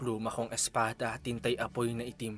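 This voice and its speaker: Music plays in the background as a man speaks. His medium pitch stays fairly even at a moderate pace. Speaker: spoken word poet. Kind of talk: spoken word poetry.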